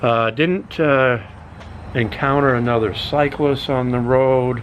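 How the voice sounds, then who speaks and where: Speaking at a fairly slow pace with fairly even intonation, a man is heard with audible room echo. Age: 60s. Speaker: YouTube vlogger. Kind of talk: casual vlog monologue. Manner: halting, many fillers.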